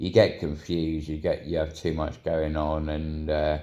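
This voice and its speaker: Moderate pace from a man whose voice sits very deep and low. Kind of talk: casual talk to camera. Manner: monotone.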